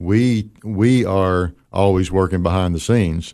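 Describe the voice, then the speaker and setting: A man's very deep, low voice against a quiet background. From moved around: Kansas, Tennessee, Texas. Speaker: business owner and chamber of commerce chairman. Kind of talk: radio interview.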